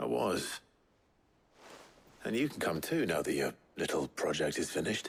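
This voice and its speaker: A man speaks in a put-on character voice, raspy and very deep in pitch. His pace is moderate, broken by long, frequent pauses. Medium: video game. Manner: measured, low-key.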